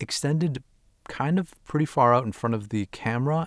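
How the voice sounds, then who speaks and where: Over a quiet background, a man speaks at a moderate pace, the sound dry with no echo. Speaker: gear vlogger. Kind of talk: tutorial. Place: home room. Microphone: phone near.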